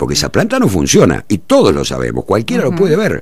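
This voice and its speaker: A man's voice with vocal fry and an Argentine accent, in a dry sound with no echo. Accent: Rioplatense Argentine Spanish. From Argentina, Buenos Aires province. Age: 60s. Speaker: mayoral candidate and veteran journalist; candidate. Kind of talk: radio interview. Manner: halting, many fillers and repetitions. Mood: critical, indignant about local government. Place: studio. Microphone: studio mic.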